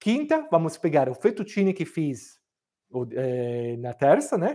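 In an Italian accent, a man speaks at a fairly slow pace with a dark, mellow tone against a quiet background. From Milan, northern Italy. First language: Italian (speaking Portuguese). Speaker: cooking teacher. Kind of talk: live cooking class. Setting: home kitchen, livestream. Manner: halting, many fillers. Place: kitchen.

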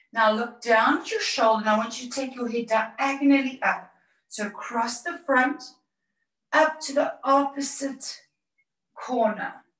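Fairly slow delivery with big swings in loudness and audible room echo. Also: woman, high pitch for a woman, ordinary pitch variation, quiet background. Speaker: fitness instructor. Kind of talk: exercise class instructions. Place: home room. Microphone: camera far.

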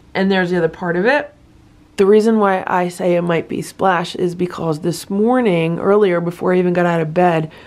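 Using a plain, everyday voice, a woman talks at a fairly quick pace with a fairly low pitch and fairly even intonation. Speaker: cat rescue vlogger. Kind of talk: casual vlog chat. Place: home room. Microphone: phone near.

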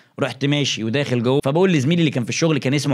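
The delivery is animated and very fast, with ordinary pitch variation. The background is quiet. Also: man. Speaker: YouTuber storyteller. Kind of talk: storytelling monologue. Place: home room. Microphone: studio mic.

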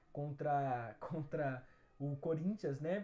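This is a man with a fairly high pitch. His voice sounds somewhat breathy. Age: 20s. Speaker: football fan channel host. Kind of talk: solo Q&A video answering viewer questions. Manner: casual, with frequent fillers. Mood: relaxed, smiling. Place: home room. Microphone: phone near.

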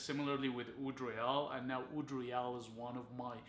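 A man speaks at a moderate pace in a monotone, flat intonation. There is audible room echo and light background noise. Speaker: fragrance reviewer. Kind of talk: casual review vlog. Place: home room.

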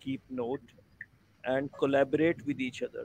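Speaking in a normal speaking voice, a man has a fairly high pitch and ordinary pitch variation. Light background noise is present, and the sound is dry with no echo. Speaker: online class co-instructor. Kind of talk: online class discussion. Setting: video call. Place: home room. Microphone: video call.

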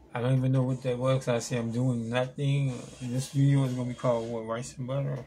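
A man at medium pitch, talking at a very fast pace over noticeable background noise. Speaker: vlogger. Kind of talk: casual vlog monologue. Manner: halting.

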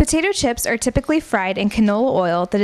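Here is an ordinary speaking voice, a woman's, fairly high in pitch with lively intonation. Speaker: narrator. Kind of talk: scripted narration, vintage educational film style. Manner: measured, formal, crisp and authoritative; even, steady pace, informative.

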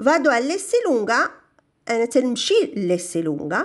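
A woman's high voice in a Moroccan accent, full of very wide pitch swings, over a quiet background. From Morocco. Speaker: language teacher. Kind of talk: tutorial. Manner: slow, repeating Italian phrases. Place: shop. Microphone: phone near.

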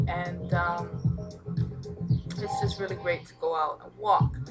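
A woman speaking at a moderate pace, with clear music in the background. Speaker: vlogger. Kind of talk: casual vlog chat. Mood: chatty, somewhat reflective. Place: home room. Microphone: webcam.

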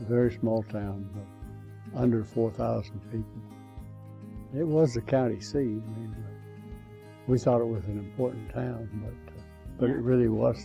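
A man with an American accent talks at a fairly slow pace, leaving long, frequent pauses. Faint music plays in the background. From Ohio, USA. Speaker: elderly man telling his life story. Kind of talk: oral history, personal reminiscence. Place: home room.

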